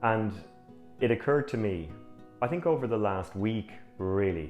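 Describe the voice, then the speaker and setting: Music plays in the background while a man speaks in a calm tone. He goes at a fairly slow pace with ordinary pitch variation. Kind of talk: personal reflection to camera. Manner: reflective, calm.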